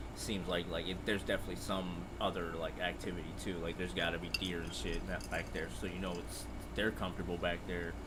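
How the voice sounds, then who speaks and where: Through noticeable background noise and audible room echo, a soft-spoken man with a very deep, low voice talks very fast with ordinary pitch variation. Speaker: hunting companion. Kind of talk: casual chat. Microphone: far from the mic, too quiet.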